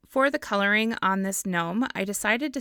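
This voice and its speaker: A woman talks at a moderate pace in a bright, sharp tone. The recording is very clean with a silent background, and the sound is dry and close with no echo. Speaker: card-making crafter. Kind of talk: crafting tutorial.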